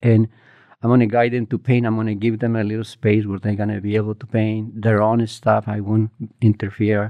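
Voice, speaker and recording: A man with a Spanish accent talks at a fairly quick pace in a fairly low, monotone, flat voice. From Mexico, small village in Morelos. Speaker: muralist. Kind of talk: interview. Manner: halting, many fillers and restarts.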